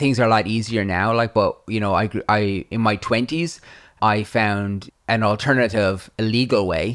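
A fairly low-pitched man at a moderate pace, with fairly even intonation, on a very clean recording with a silent background. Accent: Irish. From Ireland. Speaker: YouTuber and author. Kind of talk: interview.

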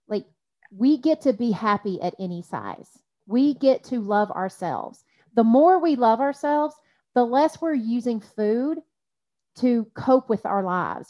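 At a moderate pace, a woman speaks with lively intonation and fairly high pitch. It is an ordinary speaking voice. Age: 40s. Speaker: life coach. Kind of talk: casual chat.

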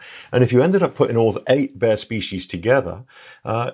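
Talking fairly quickly, a man speaks with an English accent. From England. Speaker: conservation ecologist. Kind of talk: casual interview.

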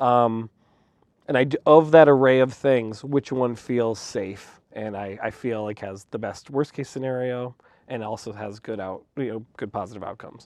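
A man with an American accent uses a normal speaking voice at medium pitch, with fairly even intonation and a moderate pace. His loudness swings a lot, and the background is quiet. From North Dakota, US Midwest. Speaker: media executive. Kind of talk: casual interview.

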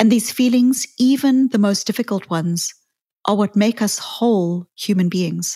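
A fairly high, somewhat breathy woman's voice with a dark, mellow tone, moderate pace and ordinary pitch variation, dry and close with no echo in a very clean recording with a silent background. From South Africa. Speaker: psychologist podcast host. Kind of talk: reflective talk.

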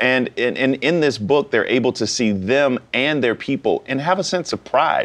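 An unremarkable speaking voice from a man with an American accent, medium pitch, ordinary pitch variation, very even loudness, a moderate pace and hardly any pauses. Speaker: author and former politician. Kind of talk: interview. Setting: TV studio.

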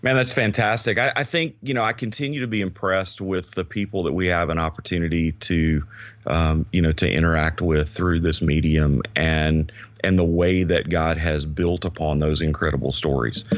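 With a Southern US accent, a man speaks at a moderate pace in a very deep, low pitch, with ordinary pitch variation and very even loudness. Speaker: podcast co-host, ministry leader. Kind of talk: casual chat.

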